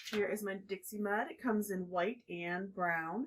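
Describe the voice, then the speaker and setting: A woman talks in a soft-spoken way, her pitch varying in an ordinary way. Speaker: furniture refinishing DIY creator. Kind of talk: tutorial. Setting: on porch at night.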